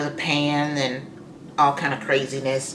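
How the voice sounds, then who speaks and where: A woman speaks in a very deep, low voice, with audible room echo and noticeable background noise. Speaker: beauty vlogger. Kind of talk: makeup tutorial. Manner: casual, chatty.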